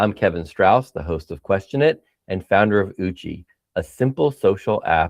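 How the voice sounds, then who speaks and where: A man speaks at a moderate pace with a fairly low pitch and lively intonation in a plain, everyday voice. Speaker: podcast host. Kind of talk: casual interview chat.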